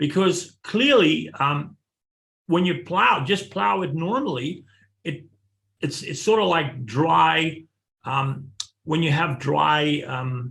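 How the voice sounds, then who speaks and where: A man speaks very slowly with long, frequent pauses, using a fairly high pitch, a bright, sharp tone, vocal fry and lively intonation. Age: 60s. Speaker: farmer. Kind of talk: webinar presentation. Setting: webinar.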